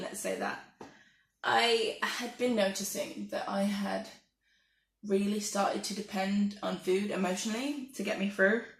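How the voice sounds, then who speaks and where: In an English accent, a soft-spoken woman talks at a moderate pace amid audible room echo. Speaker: vlogger. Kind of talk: casual monologue.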